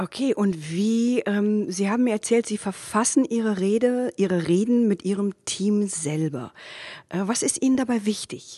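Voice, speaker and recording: At a fairly slow pace, a woman speaks with a dark, mellow tone, medium pitch and ordinary pitch variation. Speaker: podcast host, rhetoric coach. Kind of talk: interview. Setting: parliament office.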